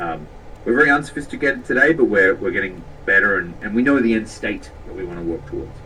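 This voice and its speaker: Over noticeable background noise, a man with an Australian accent talks at a very fast pace, with big swings in loudness. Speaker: tech company CEO. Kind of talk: interview.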